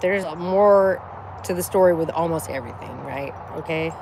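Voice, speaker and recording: An animated voice with an American accent comes through at a moderate pace. Noticeable background noise sits behind it. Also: woman. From northern US. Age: 40s. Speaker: livestreamer. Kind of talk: casual livestream chat.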